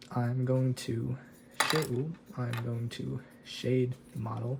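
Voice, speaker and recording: Over noticeable background noise, a soft-spoken man at medium pitch speaks very slowly in a monotone, flat intonation. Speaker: miniature painting hobbyist. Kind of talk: tutorial. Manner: halting.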